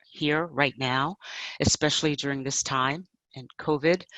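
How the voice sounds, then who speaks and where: This woman has a very deep, low pitch and a New York accent. She speaks at a moderate pace with fairly even intonation. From New York City. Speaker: change management professional and coach. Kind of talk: panel talk. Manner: direct.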